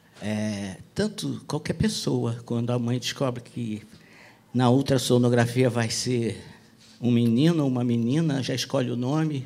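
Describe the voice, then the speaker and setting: A man's dark, mellow tone moves at a fairly slow pace and shows ordinary pitch variation. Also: medium pitch for a man. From Brazil, Rio de Janeiro. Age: 60s. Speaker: author and speaker. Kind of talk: talk at a public event. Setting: bookstore event with audience.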